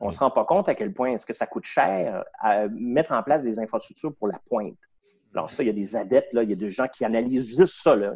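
Speaking very fast, a man talks with a Quebec accent. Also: medium pitch for a man, lively intonation. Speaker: businessman, board chairman. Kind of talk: interview.

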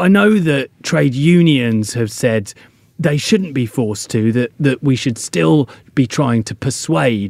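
This man has a medium pitch and a dark, mellow tone, and his intonation is lively. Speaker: podcast host. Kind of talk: conversational health news discussion and interview.

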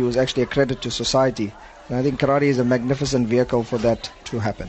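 Noticeable background noise fills the clip. Over it, a man talks at a very fast pace. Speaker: head karate coach. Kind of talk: live interview.

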